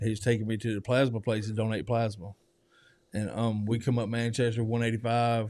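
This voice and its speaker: Speaking fairly quickly in a Southern US accent, a man keeps a medium pitch and a flat, monotone delivery. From US South, Georgia. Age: 40s. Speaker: recovery program resident. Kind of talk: testimony interview. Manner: casual.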